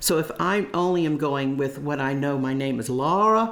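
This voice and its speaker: The speaker has an American accent and talks at a moderate pace with ordinary pitch variation. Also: woman. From US South, Tennessee. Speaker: voice teacher, former voice student. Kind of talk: interview recollection.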